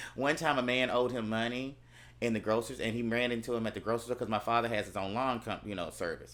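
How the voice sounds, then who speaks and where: Very fast and animated, a man speaks. His pitch is medium. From US South, Gulfport, Mississippi. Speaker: podcast host. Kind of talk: casual chat.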